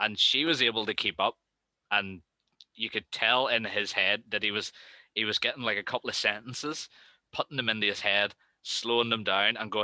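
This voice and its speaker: On a very clean recording with a silent background and a dry, close sound with no echo, a man with a Northern Irish accent talks at a fairly quick pace in a fairly low, bright, sharp voice, with fairly even intonation and long, frequent pauses. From Northern Ireland, Belfast. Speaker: motovlogger. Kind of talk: casual chat. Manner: fast.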